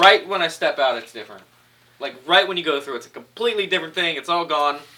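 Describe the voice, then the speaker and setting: Big swings in loudness mark this man's high-pitched voice, which moves at a very fast pace with lively intonation. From California, Orange County. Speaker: pro wrestler. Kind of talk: interview.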